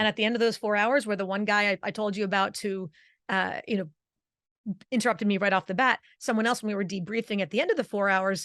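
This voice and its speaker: Against a quiet background, a woman with a New Jersey accent talks very fast at a medium pitch in an animated tone, the sound dry and close with no echo. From New Jersey, Italian-American. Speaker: vocal coach. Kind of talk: interview.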